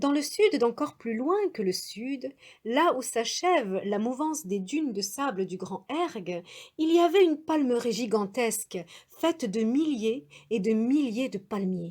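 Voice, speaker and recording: Her pitch is high and swings very widely. The woman talks at a very slow pace. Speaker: storyteller. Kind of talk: traditional tale telling.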